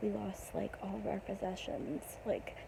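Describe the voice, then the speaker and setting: With noticeable background noise present, a woman speaks at a moderate pace. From Pennsylvania, US. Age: 20s. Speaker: vlogger. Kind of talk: casual personal vlog. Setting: in bed at midnight. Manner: hesitant, many ums.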